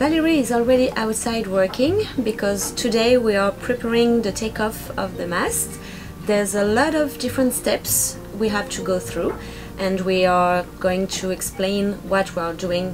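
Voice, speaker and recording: Clear music plays in the background as a woman speaks at a moderate pace. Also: ordinary pitch variation. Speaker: sailing vlogger. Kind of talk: casual vlog chat. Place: boat. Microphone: camera far.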